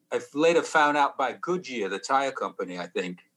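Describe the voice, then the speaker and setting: A man in a Sheffield accent, fairly high in pitch, with a bright, sharp tone. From northern England (Sheffield). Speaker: musician. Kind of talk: casual interview.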